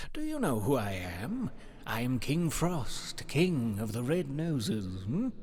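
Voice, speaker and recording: Putting on a character voice, a man talks at a fairly slow pace in a medium pitch, with clear background noise. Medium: read story. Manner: snapping, insistent questioning.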